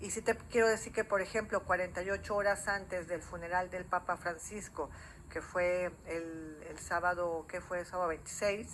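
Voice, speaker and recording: A woman talks at a moderate pace and medium pitch, her intonation fairly even. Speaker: journalist. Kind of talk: TV interview.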